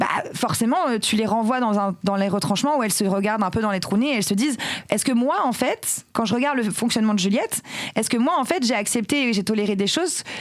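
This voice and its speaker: A woman talks at a very fast pace with a fairly high pitch. Her tone is animated and her intonation lively. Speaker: tech career executive and feminist activist. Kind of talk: podcast interview. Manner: loud.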